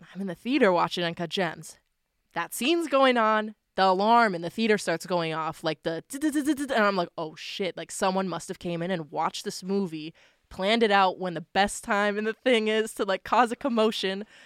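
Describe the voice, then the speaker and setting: A woman talks at a fairly quick pace in an ordinary speaking voice, with medium pitch and lively intonation. The recording is very clean with a silent background and a dry, close sound with no echo. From Nova Scotia, Canada. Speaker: singer-songwriter. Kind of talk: casual interview chat.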